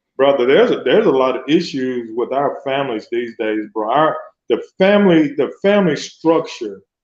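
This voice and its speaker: Delivered in a normal speaking voice, the speech keeps a moderate pace and ordinary pitch variation. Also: man. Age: 60s. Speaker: social worker and former youth football coach. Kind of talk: radio talk show interview, casual chat.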